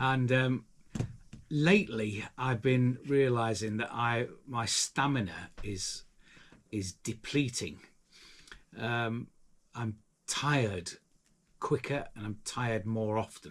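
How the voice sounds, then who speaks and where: On a very clean recording with a silent background, a man at a medium pitch speaks at a very slow pace with ordinary pitch variation and long, frequent pauses. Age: 60s. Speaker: handyman. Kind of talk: vlog talk to camera. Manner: halting, many fillers.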